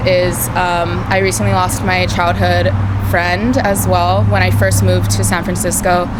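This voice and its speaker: Noticeable background noise and audible room echo fill the recording. The speaker keeps a moderate pace. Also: woman. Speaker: college radio co-host, recent graduate. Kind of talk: interview. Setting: record store. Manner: halting, many fillers.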